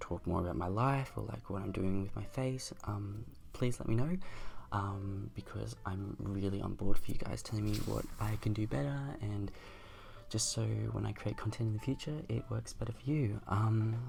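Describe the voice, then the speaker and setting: The speaker is soft-spoken and somewhat breathy, moving at a moderate pace with ordinary pitch variation. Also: man, fairly low pitch for a man. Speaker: makeup youtuber. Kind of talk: makeup tutorial outro.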